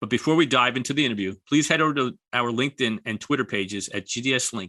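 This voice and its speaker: With an American accent, a man talks at a fairly quick pace in a bright, sharp tone at a medium pitch with ordinary pitch variation. The sound is dry and close with no echo, against a quiet background. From New York. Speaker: podcast host. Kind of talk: scripted intro; podcast interview.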